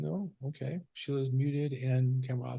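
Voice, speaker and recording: The background stays quiet while a man talks. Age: 60s. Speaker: real estate coach. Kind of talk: group coaching call. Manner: fast; many fillers, halting.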